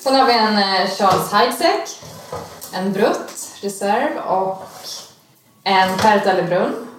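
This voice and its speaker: With noticeable background noise and audible room echo, a woman speaks at a very slow pace and medium pitch, varying it in an ordinary way. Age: 20s. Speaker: podcast co-guest reading listener questions. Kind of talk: casual chat.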